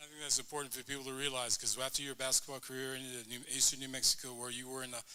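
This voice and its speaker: A man with an American accent, very fast and flat in a monotone, with a bright, sharp tone. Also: medium pitch for a man, big swings in loudness. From El Paso, Texas. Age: 70s. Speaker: hall of fame presenter. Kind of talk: award ceremony introduction. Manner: casual, friendly.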